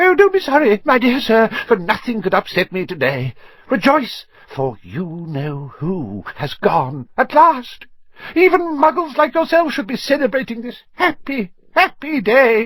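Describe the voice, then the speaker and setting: In a put-on character voice, a man squeaks at an extremely high pitch, swinging his pitch very widely while keeping a moderate pace. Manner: gleeful, celebratory.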